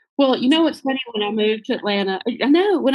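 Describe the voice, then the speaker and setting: A woman with a Southern US accent, talking at a very fast pace. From US South, Kentucky. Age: 50s. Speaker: small business owner, former preschool ministry worker. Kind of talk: podcast interview.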